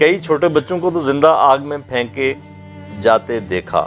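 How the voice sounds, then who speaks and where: Music plays in the background. A man speaks at a medium pitch. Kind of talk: documentary narration.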